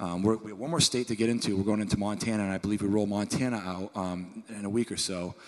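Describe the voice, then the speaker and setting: A man talks very fast with hardly any pauses. His pitch is fairly low and his intonation fairly even. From Maine. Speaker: head brewer. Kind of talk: panel talk at a tasting event. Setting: live event with audience.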